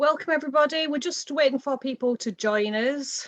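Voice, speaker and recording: A woman talks at a moderate pace in a normal speaking voice. Her intonation is lively. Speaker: academic event chair. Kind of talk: online panel moderation.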